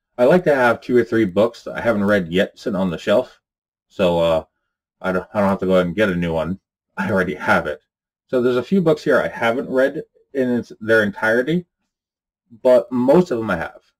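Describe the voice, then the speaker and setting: A man at a fairly quick pace, with very wide pitch swings, long and frequent pauses, and a quiet background. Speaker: occult-topics YouTuber. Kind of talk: casual vlog talk to camera. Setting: home recording in apartment. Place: home room.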